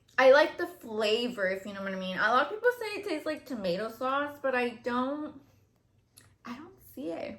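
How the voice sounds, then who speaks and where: The speaker has a slight Mexican accent and lively intonation. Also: woman. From Mexico. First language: Spanish. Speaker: YouTuber. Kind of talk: casual chat. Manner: casual, filler-heavy.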